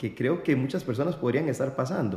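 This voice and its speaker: The man's voice carries a dark, mellow tone. His pitch moves with ordinary variation. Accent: Costa Rican. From Costa Rica. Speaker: podcast host. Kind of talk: interview.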